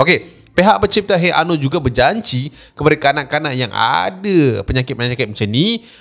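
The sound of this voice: Talking at a fairly quick pace, a man uses a fairly high pitch, a fairly bright tone, vocal fry and lively intonation.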